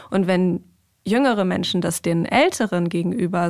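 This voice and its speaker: A woman talks at a moderate pace and medium pitch. She has an ordinary speaking voice, on a very clean recording with a silent background. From Germany, Hannover. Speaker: rabbinical student. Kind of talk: casual chat.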